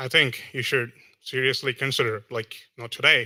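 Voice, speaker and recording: The voice has a bright, sharp tone and an American accent, delivered in a flat monotone. The recording is very clean, with a silent background. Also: man. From outside the US. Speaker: audience member asking a question. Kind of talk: audience question. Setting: hall with audience. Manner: halting.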